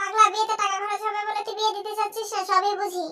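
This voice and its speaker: A squeaky, put-on character voice from a woman, extremely high-pitched, monotone and flat, at a fairly quick pace. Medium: fan dub. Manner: loud, scolding.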